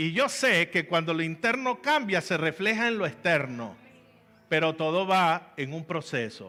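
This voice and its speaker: Speaking fairly slowly, a man with a high pitch and a bright, sharp tone makes very wide pitch swings. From Venezuela, Valencia (Carabobo). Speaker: pastor. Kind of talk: sermon.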